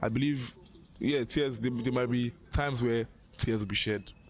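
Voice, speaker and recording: A man at medium pitch and moderate pace, in a very clean recording with a silent background. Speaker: university student. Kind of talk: casual chat. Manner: loud, expressive.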